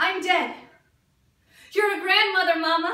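Woman's raised, projected voice, bright and sharp in tone, ordinary pitch variation, moderate pace, audible room echo over a quiet background. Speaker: actor at an audition. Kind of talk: dramatic theatre monologue. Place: studio. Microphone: camera far.

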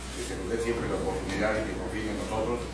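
Over loud background noise and audible room echo, the voice races along at a very fast pace. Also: man. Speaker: prison inmate, former cartel leader. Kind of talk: formal speech to inmates and prison officials. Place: hall. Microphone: camera far.

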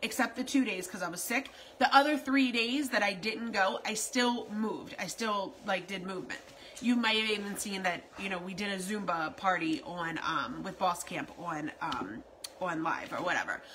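Over light background noise, a woman speaks at a moderate pace with lively intonation. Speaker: keto lifestyle vlogger. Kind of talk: casual vlog chat. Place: home room. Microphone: phone near.

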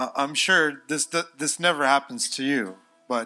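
Faint music plays in the background as a man speaks at a fairly slow pace with ordinary pitch variation. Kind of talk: casual address to congregation. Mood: relaxed, joking. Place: church. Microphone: handheld.

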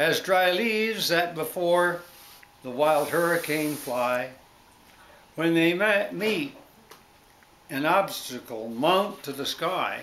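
A man's high-pitched voice, very slow with long, frequent pauses and ordinary pitch variation, over light background noise. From Canada, New Brunswick. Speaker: father reading to family. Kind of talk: storybook reading to family, Christmas poem. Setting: home, family living room. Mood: warm, gentle, some stumbles. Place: home room. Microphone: phone near.

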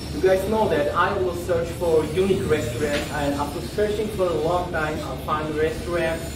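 Noticeable background noise sits behind a man speaking with ordinary pitch variation. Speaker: food vlogger. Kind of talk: casual vlog chat. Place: cafe.

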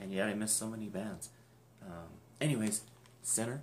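A quiet, mumbling man's voice, fairly low in pitch with lively intonation, over light background noise. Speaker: YouTuber unboxing music collectibles. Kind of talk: casual unboxing video. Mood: cheerful, enthusiastic. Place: home room. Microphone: webcam.

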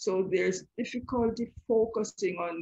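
A woman is speaking. Her intonation is lively. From Jamaica. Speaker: educational psychologist and author. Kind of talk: interview.

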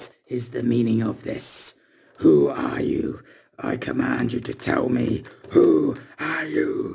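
A raspy put-on character voice from a man, fairly slow in pace, with big swings in loudness. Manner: commanding, menacing.

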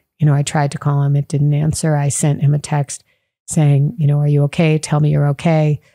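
In an American accent, a soft-spoken woman with a very deep, low pitch and a dark, mellow tone talks at a fairly quick pace in a monotone, flat intonation, with very even loudness, a dry sound with no echo and a quiet background. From Chicago. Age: 50s. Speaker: teacher. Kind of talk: podcast interview answer. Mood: somber, restrained grief. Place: home room. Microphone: studio mic.

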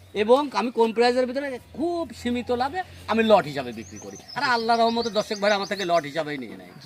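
Against noticeable background noise, a man with a high pitch shows very wide pitch swings and big swings in loudness. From Bangladesh, Pabna district. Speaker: cattle farmer and seller. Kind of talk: sales pitch.

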